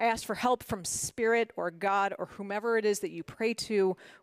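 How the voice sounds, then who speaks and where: A woman speaks with a Mid-Atlantic accent at a medium pitch. Her pitch varies in an ordinary way, and the sound is dry and close with no echo. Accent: American, Mid-Atlantic. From Washington, D.C., US. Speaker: motivational speaker, former corporate lawyer. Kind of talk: prepared talk. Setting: stage with audience.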